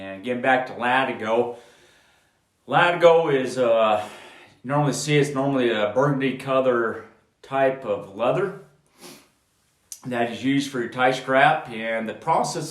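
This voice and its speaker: A man talks at a fairly slow pace with long, frequent pauses, ordinary pitch variation and big swings in loudness, with audible echo in the room. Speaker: horseman and tack educator. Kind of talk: tutorial. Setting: indoors at home. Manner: casual, hesitant with fillers.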